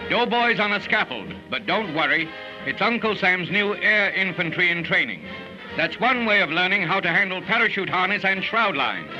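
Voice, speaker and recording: Over music in the background, a man uses a raised, projected voice with a high pitch. He keeps a moderate pace, fairly even intonation and very even loudness. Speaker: newsreel narrator. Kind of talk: 1940s newsreel narration.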